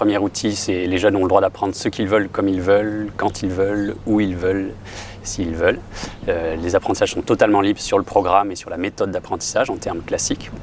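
A man speaks at a very fast pace in a fairly low, monotone, flat voice, with noticeable background noise. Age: 40s. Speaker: music teacher and school founder. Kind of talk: interview.

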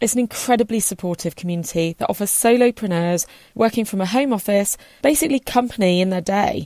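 A woman with a slight West Country accent speaks very fast in a dark, mellow tone, her intonation lively, the sound dry and close with no echo on a very clean recording with a silent background. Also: medium pitch for a woman. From Somerset, southwest England. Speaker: podcast host and business owner. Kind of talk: podcast trailer, scripted promo. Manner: friendly, conversational, laughs often.

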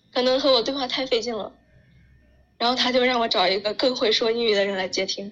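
Talking at a very fast pace, a woman keeps a fairly high pitch and fairly even intonation. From China. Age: 20s. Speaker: working holiday traveler. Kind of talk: interview.

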